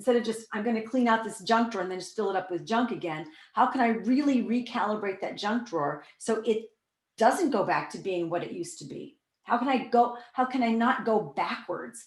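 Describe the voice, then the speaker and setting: A woman with an American accent speaks at a fairly quick pace, her fairly high, somewhat breathy voice rising and falling with lively intonation. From US Midwest, Iowa. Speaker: workshop leader, spiritual teacher. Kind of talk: online workshop talk. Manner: fast; animated.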